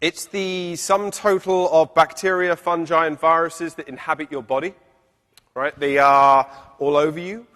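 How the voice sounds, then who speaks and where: Loud and bright with a sharp tone, a man speaks at a moderate pace with a fairly high pitch and fairly even intonation. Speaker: professor. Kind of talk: lecture. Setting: stage with audience.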